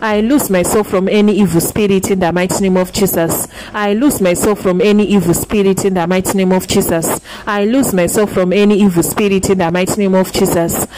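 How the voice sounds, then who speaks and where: Speaking at a fairly quick pace with hardly any pauses, a woman holds a medium pitch, fairly even intonation and very even loudness over noticeable background noise. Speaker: prayer leader. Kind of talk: fervent call-and-repeat deliverance prayer, one decree repeated over and over. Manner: insistent, relentless repetition of the same declaration; commanding, urging listeners to pray loud.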